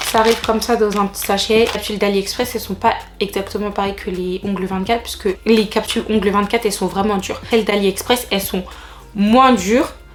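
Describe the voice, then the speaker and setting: Against noticeable background noise, a woman talks fairly quickly in a monotone, flat intonation. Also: medium pitch for a woman. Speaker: beauty vlogger. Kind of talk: casual vlog tutorial.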